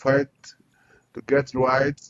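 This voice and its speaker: A man speaks at a fairly slow pace in a Burkinabe accent. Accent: Burkinabè French-accented English. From Burkina Faso. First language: French. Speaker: entrepreneur. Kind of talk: interview. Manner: halting.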